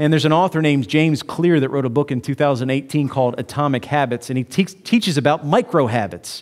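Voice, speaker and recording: Little can be heard in the background. A male speaker is talking. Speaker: preacher. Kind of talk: sermon. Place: church. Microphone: headset.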